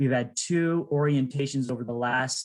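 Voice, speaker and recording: In a normal speaking voice, a man speaks at a medium pitch and a moderate pace. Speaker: nonprofit presenter. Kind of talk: pitch presentation.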